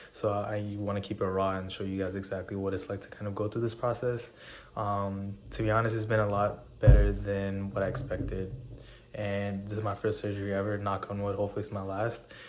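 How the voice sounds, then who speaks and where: A man with a fairly low pitch speaks in a monotone, flat intonation, with audible room echo around him. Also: fairly quick pace. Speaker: fitness vlogger. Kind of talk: casual vlog talk. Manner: hesitant, many fillers.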